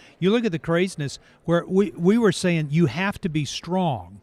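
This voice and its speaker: In an ordinary speaking voice, a man talks at a fairly quick pace with lively intonation, recorded very cleanly with a silent background and a dry, close sound with no echo. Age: 60s. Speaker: author and ranch counselor for troubled teens. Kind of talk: podcast interview.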